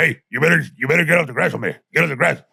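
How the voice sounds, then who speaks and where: A man puts on a character voice that is raspy and gruff. He delivers it at a very fast pace. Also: fairly high pitch for a man. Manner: yelling, scolding.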